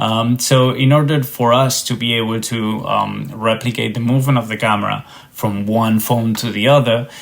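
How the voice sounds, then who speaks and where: Spoken with a Spanish accent and fairly even intonation, the words come with hardly any pauses. Noticeable background noise sits under the voice. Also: man, medium pitch for a man, moderate pace. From Spain. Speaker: tech startup founder and researcher. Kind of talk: podcast interview. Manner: hesitant, many fillers and repetitions.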